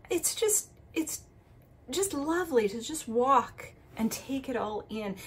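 The speaker is a woman. Her voice sits at a high pitch. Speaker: travel vlogger. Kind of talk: casual vlog chat. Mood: delighted, admiring. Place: street. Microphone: phone near.

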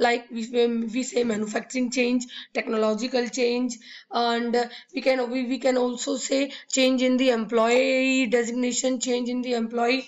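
A woman speaks in a high pitch at a moderate pace. Her intonation is monotone and flat. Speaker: college lecturer. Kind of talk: lecture. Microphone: webcam.

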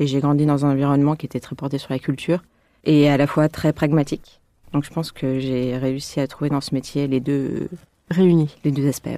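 A woman speaks at a moderate pace in a very deep, low pitch. Her tone is dark and mellow, and her intonation is monotone and flat. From Lyon, France. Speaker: architect. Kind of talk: interview. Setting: around a table.

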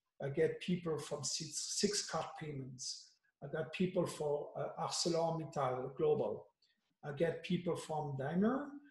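A man talks fairly slowly with ordinary pitch variation, and room echo can be heard. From France. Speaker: agile coach. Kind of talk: workshop facilitation. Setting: video call. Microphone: video call.

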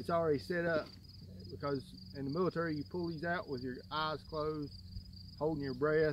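Noticeable background noise surrounds a man talking at a fairly quick pace with ordinary pitch variation. The sound is dry with no echo. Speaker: outdoor gear demonstrator. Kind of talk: tutorial. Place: garden. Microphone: phone near.

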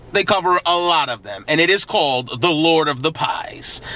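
A man uses a raised, projected voice with a bright, sharp tone at a moderate pace, in a dry sound with no echo. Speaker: food vlogger. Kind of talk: casual vlog chat. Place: car. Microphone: phone near.

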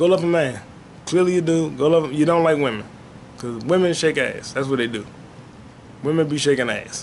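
A man with a fairly high pitch talks at a fairly quick pace with ordinary pitch variation over light background noise. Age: 30s. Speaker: podcast host; solo podcast host. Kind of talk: solo casual monologue. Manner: animated. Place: home room. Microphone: webcam.

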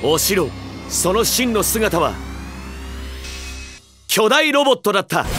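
Music plays behind a man with a high pitch and lively intonation, speaking at a fairly slow pace with long, frequent pauses. His loudness stays very even, and the sound is dry with no echo. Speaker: voice actor. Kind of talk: TV commercial read. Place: booth.

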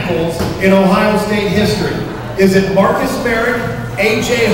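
Strong room echo and noticeable background noise surround a man speaking at a high pitch. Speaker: quiz host. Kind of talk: game show hosting. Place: bar.

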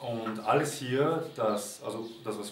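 Light background noise sits under a man's voice. The room echo is audible. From Austria, Vienna. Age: 20s. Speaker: volunteer at animal sanctuary. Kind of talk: testimonial appeal to camera. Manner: halting, with fillers and repetitions. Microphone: camera far.

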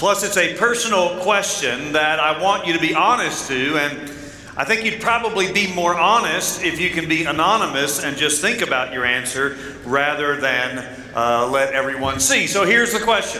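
A man talks at a moderate pace. Light background noise and audible room echo are present. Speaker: pastor. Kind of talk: sermon. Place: church.

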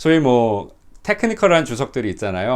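A man is speaking. The background is quiet. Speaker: pastor. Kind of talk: testimony. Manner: hesitant fillers.

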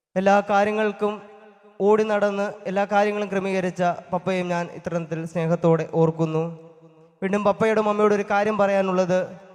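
Over noticeable background noise, a man speaks at a high pitch with monotone, flat intonation. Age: 20s. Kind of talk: thanksgiving speech at first Mass. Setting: church.

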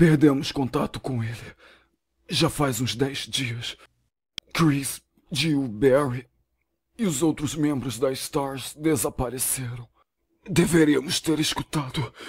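Putting on a raspy character voice, a man speaks at a medium pitch and fairly slow pace, with ordinary pitch variation and long, frequent pauses. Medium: fan dub. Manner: urgent, grim.

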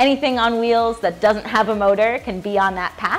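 With faint music in the background, a woman speaks at a moderate pace with ordinary pitch variation. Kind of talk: interview answer. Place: office.

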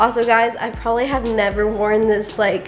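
A woman talks at a moderate pace over faint background music. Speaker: vlogger. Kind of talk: casual vlog chat. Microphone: phone near.

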